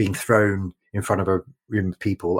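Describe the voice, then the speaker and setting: A man talks in a very deep, low, somewhat breathy voice. The sound is dry and close with no echo, and the recording is very clean with a silent background. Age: 40s. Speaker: podcast host. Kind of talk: interview conversation. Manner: enthusiastic.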